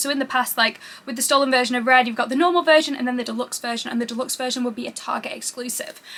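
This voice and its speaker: Talking at a very fast pace in a high voice, a woman with a British accent sounds animated over noticeable background noise. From UK. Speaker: YouTuber. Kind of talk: unboxing video.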